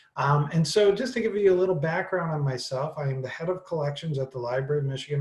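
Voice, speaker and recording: With an American accent, a man talks at a fairly high pitch in a somewhat breathy voice. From Wisconsin. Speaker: librarian. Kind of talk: webinar presentation. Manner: fast.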